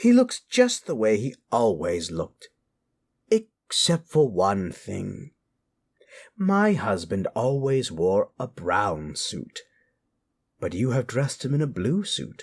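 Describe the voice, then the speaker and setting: Using a put-on character voice, a man speaks at a fairly slow pace in a medium pitch, with long, frequent pauses. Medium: read story.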